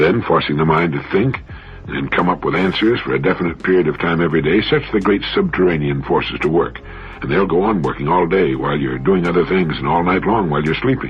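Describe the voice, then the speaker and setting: Through noticeable background noise, a man with a very deep, low pitch speaks at a fairly quick pace with ordinary pitch variation. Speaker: motivational speaker, radio host. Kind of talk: motivational radio talk. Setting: radio broadcast.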